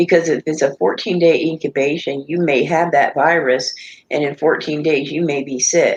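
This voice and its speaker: She has a very deep, low voice for a woman. Her intonation is fairly even and her pace moderate. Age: 60s. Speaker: live stream panelist. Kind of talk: casual chat.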